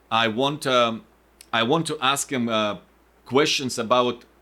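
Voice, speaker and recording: Against a very clean recording with a silent background, a man speaks in a bright, sharp tone. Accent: non-native. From Ukraine. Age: 40s. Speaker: podcast host. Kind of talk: podcast interview. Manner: halting.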